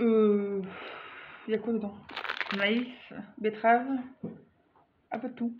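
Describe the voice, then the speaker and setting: A woman talks at a very slow pace, with long, frequent pauses. Her pitch is fairly high. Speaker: vlogger. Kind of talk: casual product review vlog. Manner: animated.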